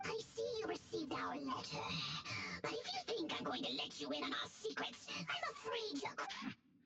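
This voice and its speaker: Over loud background noise, someone uses a put-on character voice at a moderate pace. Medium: video game.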